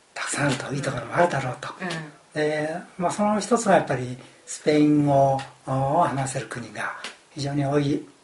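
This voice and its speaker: A man speaks at a moderate pace, his fairly high pitch showing ordinary variation. Noticeable background noise and audible room echo fill the recording. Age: 60s. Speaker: retiree studying abroad. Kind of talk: casual chat.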